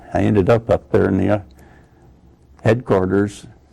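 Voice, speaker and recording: Fairly low in pitch, a man with an American accent speaks in a dark, mellow tone with vocal fry. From Iowa, USA. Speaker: Korean War veteran and former prisoner of war. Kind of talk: oral history interview answer.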